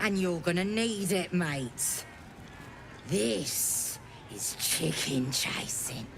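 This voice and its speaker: Someone speaks at a middle pitch in a put-on character voice, very slowly, with long, frequent pauses. Loud background noise runs underneath. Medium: video game. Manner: brash, crude.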